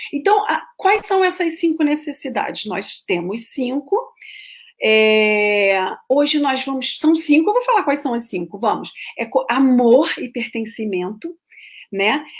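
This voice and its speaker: A woman speaks at a high pitch with very wide pitch swings. She goes at a fairly slow pace. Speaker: therapist / coach giving talks on schema therapy. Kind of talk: live-stream lecture. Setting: solo live stream.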